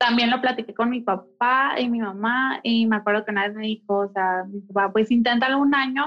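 Music plays in the background as a woman speaks at a fairly high pitch. Her pace is moderate and her intonation fairly even. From Mexico, Mexicali, Baja California. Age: 20s. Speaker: interior designer and architect. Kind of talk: interview conversation.

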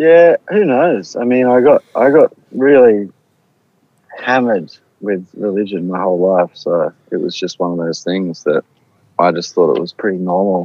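With a plain, everyday voice, a man of medium pitch talks at a moderate pace with lively intonation. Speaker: artist and singer guest. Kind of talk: casual interview chat. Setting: sitting in a car, remote call.

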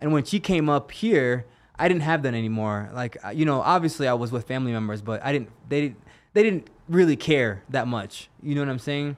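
A man with a plain, everyday voice, in an American accent, with a fairly high pitch and lively intonation. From Jamaica, then US East Coast. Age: 30s. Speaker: UFC fighter. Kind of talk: casual interview. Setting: studio.

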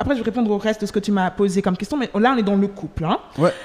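A woman's lively intonation comes through over noticeable background noise. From Switzerland (Geneva), Nigerian-Angolan family. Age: 20s. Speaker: trainee lawyer and worship singer. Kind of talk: casual chat.

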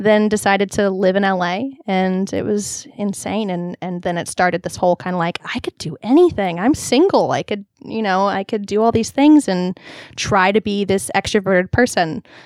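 In an American accent, a woman with an unremarkable speaking voice talks at a moderate pace and medium pitch, with ordinary pitch variation and a dry, close sound with no echo. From Southern California (Long Beach). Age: 20s. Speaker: singer-songwriter and comedian. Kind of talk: casual chat.

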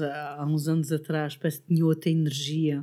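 This woman has a very deep, low pitch. She speaks with a European Portuguese accent. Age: 50s. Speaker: podcast fan and office worker. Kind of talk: casual chat. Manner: halting.

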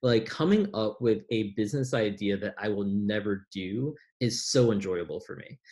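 A man at a fairly slow pace, somewhat breathy, with an American accent. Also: very clean recording, silent background. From US Midwest, Chicago South Side. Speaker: entrepreneur. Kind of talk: casual interview chat. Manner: calm, thoughtful.

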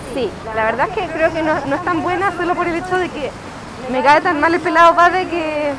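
The speaker has a Chilean accent and a fairly quick pace. Noticeable background noise is present. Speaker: podcast co-host. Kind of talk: casual chat. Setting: outdoors.

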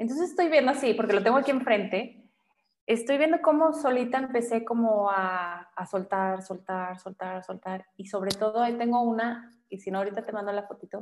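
Delivered at a fairly quick pace, an unremarkable speaking voice carries lively intonation and big swings in loudness. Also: woman, fairly high pitch for a woman. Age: 40s. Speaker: photographer. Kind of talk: casual interview chat. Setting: studio.

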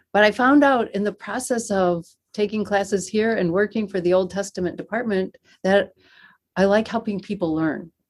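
A woman with an American accent has an unremarkable speaking voice at medium pitch with ordinary pitch variation. She talks at a moderate pace on a very clean recording with a silent background. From US Northeast (Western New York). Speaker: seminary professor of Old Testament. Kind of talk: interview.

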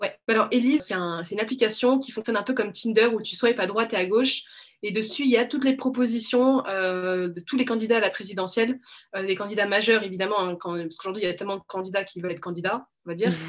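The speaker goes at a very fast pace, with ordinary pitch variation. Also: woman, fairly high pitch for a woman. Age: 20s. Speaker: media co-founder. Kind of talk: interview.

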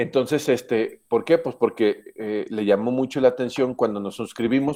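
At a moderate pace and with ordinary pitch variation, a man speaks in a normal speaking voice over a quiet background. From Mexico, Aguascalientes. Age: 40s. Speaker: engineering professor. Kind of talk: talk to students with Q&A.

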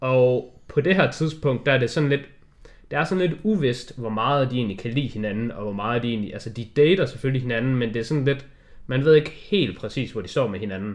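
A man's medium-pitched voice, fairly quick and lively in intonation, against a quiet background. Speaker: film podcast co-host. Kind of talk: casual chat. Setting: studio. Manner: halting.

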